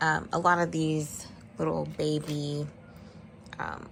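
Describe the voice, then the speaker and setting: A quiet woman's voice. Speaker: vlogger, mother. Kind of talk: casual vlog chat. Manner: quiet, talking low.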